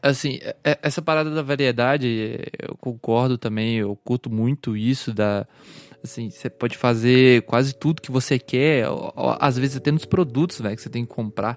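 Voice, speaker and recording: This is an unremarkable speaking voice. Its intonation is fairly even. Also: man, medium pitch for a man, moderate pace. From small-town Brazil. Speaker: podcast host. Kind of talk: casual chat.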